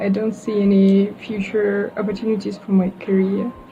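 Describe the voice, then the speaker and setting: Noticeable background noise sits behind a voice with a Russian accent moving at a fairly slow pace. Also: woman. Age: 20s. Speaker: university student. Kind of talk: casual interview. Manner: halting, many fillers.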